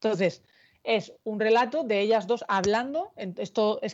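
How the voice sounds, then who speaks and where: In a plain, everyday voice, a woman speaks at a fairly slow pace and medium pitch with lively intonation. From Murcia, southern Spain. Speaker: novelist. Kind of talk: interview. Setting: video call.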